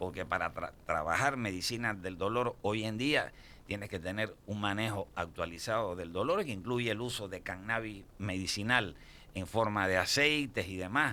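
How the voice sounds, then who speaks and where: This man's bright, sharp tone moves at a moderate pace with ordinary pitch variation. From Cuba. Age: 60s. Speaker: pain medicine doctor. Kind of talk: radio interview. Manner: halting, repetitive fillers.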